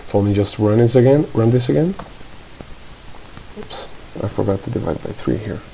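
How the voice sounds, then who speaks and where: The speaker has a non-native accent. Noticeable background noise runs under the voice. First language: not English. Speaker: programming tutor. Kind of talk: screen-recorded coding tutorial. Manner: halting, with fillers and self-corrections; casual.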